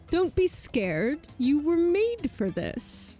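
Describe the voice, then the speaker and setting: Over clear background music, a woman in a put-on character voice speaks very slowly at a high pitch. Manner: spooky, eerie.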